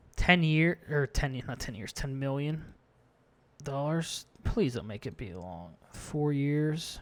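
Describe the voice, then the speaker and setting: Mumbling at a very slow pace, a man with a fairly high pitch and lively intonation shows big swings in loudness on a very clean recording with a silent background. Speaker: gaming YouTuber. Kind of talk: gameplay commentary. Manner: casual stream of consciousness.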